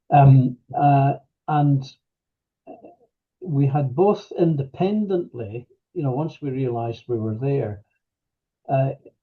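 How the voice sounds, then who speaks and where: Somewhat breathy and medium in pitch, a man speaks at a very slow pace with ordinary pitch variation. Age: 70s. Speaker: retired manager, workshop participant. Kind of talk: personal testimony interview. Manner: halting, many fillers; reflective, unhurried.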